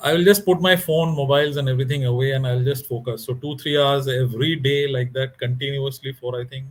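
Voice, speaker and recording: A man at a fairly high pitch and very fast pace, with fairly even intonation, hardly any pauses and big swings in loudness. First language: Bengali. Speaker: author. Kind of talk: interview. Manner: halting.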